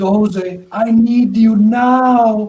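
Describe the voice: A put-on character voice pitched fairly high.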